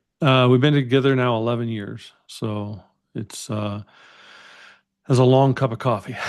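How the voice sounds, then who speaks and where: With an American accent, a man at a medium pitch talks at a moderate pace with long, frequent pauses and fairly even intonation over a quiet background. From US Midwest (Minneapolis, Iowa). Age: 60s. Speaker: entrepreneur and podcast host. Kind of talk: interview conversation.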